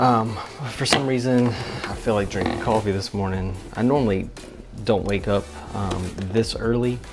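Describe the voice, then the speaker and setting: Over music in the background and audible room echo, a man with a fairly low pitch talks at a moderate pace with ordinary pitch variation. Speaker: church media worker and vlogger. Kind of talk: casual vlog. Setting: at home early morning.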